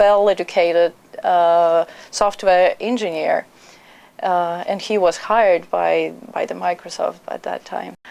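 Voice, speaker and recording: Someone talks at a fairly slow pace with a Russian accent. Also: woman. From Russia (Perm). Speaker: immigrant, trained journalist. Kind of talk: interview. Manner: halting.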